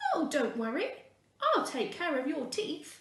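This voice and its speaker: A woman puts on a squeaky character voice at a high pitch, speaking at a moderate pace with slight echo. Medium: read story.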